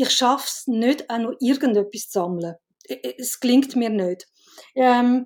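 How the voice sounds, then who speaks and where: A woman's high pitch with ordinary variation and a dark, mellow tone. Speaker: film director and writer. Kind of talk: casual chat.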